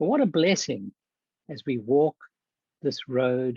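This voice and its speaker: Speaking very slowly, a man with a South African accent has a fairly high pitch that swings very widely. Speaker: church health ministries leader and physician. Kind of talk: conference talk.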